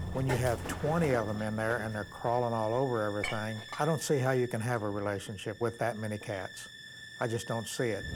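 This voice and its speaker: Noticeable background noise accompanies a man speaking at a fairly quick pace. His pitch is medium and his intonation fairly even. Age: 70s. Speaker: hoarder's brother. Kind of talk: reality TV interview.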